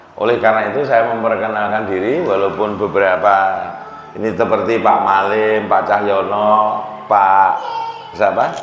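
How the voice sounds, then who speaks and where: A man with a Central Javanese accent speaks at a fairly slow pace in a fairly low pitch. The recording carries audible room echo and noticeable background noise. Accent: Demak Javanese accent in Indonesian. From Central Java, Demak. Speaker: biology lecturer giving religious talk. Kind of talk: sermon. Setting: mosque.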